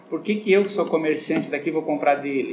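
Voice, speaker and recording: A man speaks at a fairly high pitch. Room echo and noticeable background noise can be heard. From southern Brazil (Rio Grande do Sul). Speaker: optician shop owner, businessman. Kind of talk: radio interview.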